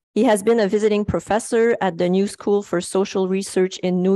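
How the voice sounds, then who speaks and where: Over a quiet background, a woman's dark, mellow tone comes through dry and close, with no echo. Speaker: conference moderator. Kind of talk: formal introduction. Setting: conference room with audience.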